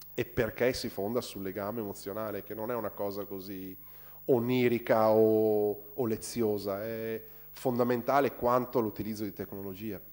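Over a very clean recording with a silent background, a man speaks at a moderate pace in a fairly low pitch, his intonation monotone and flat. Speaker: designer. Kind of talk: Q&A after a university talk. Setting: university lecture hall.

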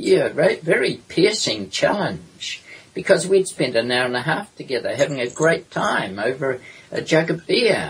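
Noticeable background noise sits behind a man with a New Zealand accent. His fairly high voice moves at a fairly slow pace with lively intonation. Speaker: historian and author. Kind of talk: interview.

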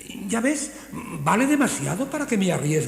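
The clip is read in a natural reading voice.

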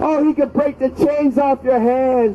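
A man with an extremely high pitch talks at a fairly slow pace with fairly even intonation. Light background noise sits behind him. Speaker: street preacher. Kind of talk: open-air street sermon, fervent fire-and-brimstone evangelistic exhortation to passersby. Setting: outdoors on a city street near a bus stop. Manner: impassioned and repetitive, punctuating nearly every line with drawn-out 'Oh'; urgent, warning cadence hammering short imperatives. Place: street.

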